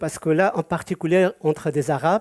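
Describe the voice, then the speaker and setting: The delivery is fairly slow, with fairly even intonation. The recording is very clean, with a silent background. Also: man. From Georgia (Soviet Union), Yazidi community. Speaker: community association president. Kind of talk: prepared speech at a community event, partly read aloud. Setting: event with live audience. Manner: halting, with frequent hesitations.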